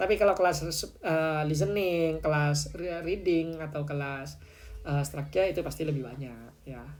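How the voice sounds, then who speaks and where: Audible room echo surrounds a man speaking at a moderate pace. His pitch is fairly high, with ordinary pitch variation. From Madura, Indonesia (Pamekasan). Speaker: TOEFL tutor. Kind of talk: live online lesson and class promotion. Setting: livestream. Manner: casual, chatty.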